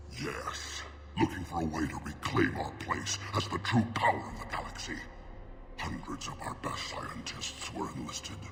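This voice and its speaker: This man speaks in a put-on character voice at a moderate pace. Loud background noise and a clear echo surround him. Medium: machinima. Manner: bitter, menacing.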